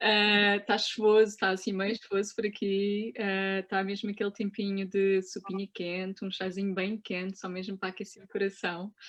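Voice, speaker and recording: A woman with a European Portuguese accent, monotone and flat in intonation, at a moderate pace with hardly any pauses. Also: medium pitch for a woman. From Portugal. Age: 30s. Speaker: cannabis specialist, Chinese medicine practitioner. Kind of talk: interview. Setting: video call.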